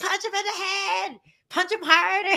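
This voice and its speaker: A squeaky, nasal put-on character voice sits at an extremely high pitch. It moves at a moderate pace with monotone, flat intonation. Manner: loud shouting, urging on a fighter.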